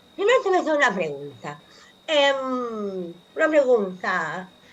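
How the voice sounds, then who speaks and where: Here a woman talks with a high pitch. Her pitch swings very widely. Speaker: anthropologist columnist on radio. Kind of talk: radio column talk.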